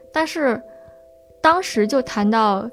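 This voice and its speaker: A fairly high-pitched woman's voice against noticeable background noise. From Beijing suburbs. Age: 20s. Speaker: storyteller with depression. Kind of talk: personal testimony.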